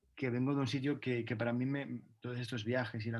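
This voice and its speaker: With monotone, flat intonation, a man talks at a fairly quick pace. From Catalonia, Spain. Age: 30s. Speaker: dancer. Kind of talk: interview. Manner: halting.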